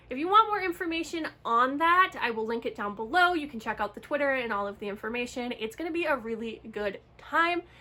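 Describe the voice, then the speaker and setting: Over noticeable background noise, a woman with a high pitch talks with hardly any pauses, her pitch swinging very widely. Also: fairly quick pace. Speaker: book vlogger. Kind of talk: casual vlog talk.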